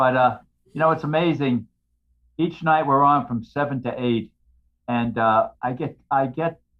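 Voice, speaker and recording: With a New York accent, a man speaks at a fairly high pitch and a fairly slow pace, with ordinary pitch variation and long, frequent pauses. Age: 80s+. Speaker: retired firefighter and author. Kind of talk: casual chat. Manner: loud.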